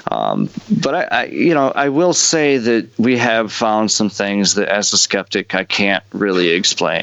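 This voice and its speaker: A man's fairly low voice, very even in loudness, with lively intonation and noticeable background noise. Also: fairly slow pace. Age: 30s. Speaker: podcast host. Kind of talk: casual interview.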